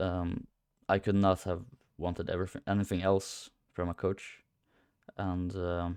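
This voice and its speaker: Long, frequent pauses break up speech given at a fairly slow pace in a monotone, flat intonation, in a very clean recording with a silent background. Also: man, very deep, low pitch for a man. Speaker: coaching client, aspiring powerlifter. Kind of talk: testimonial. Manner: hesitant, many fillers.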